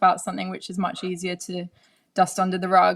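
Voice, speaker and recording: On a very clean recording with a silent background, a woman speaks at a fairly quick pace. She has a British accent and a medium pitch. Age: 20s. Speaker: presenter and mental health advocate. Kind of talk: live-streamed panel discussion. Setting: live stream.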